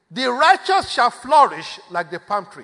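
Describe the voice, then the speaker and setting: A man speaks in a raised, projected voice at a fairly slow pace. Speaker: prayer leader. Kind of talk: prayer meeting exhortation. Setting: church. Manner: animated.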